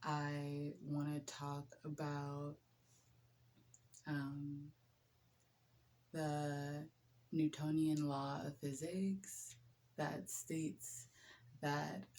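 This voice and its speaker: Soft-spoken and relaxed in tone, a woman speaks very slowly with long, frequent pauses. Her voice is very deep and low, with a dark, mellow tone. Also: fairly even intonation. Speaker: nurse. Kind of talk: casual chat.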